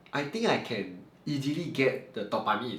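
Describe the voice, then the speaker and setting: Room echo can be heard around the man's speech. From Malaysia, Johor (Segamat). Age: 30s. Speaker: math teacher. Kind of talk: Q&A talk to camera. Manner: unscripted, somewhat halting.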